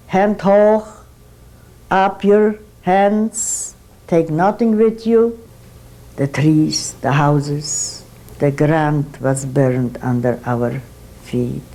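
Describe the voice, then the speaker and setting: With noticeable background noise behind her, a woman speaks very slowly in a very deep, low pitch, making very wide pitch swings and taking long, frequent pauses. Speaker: Holocaust survivor giving testimony. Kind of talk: first-person survivor testimony. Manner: steady, measured.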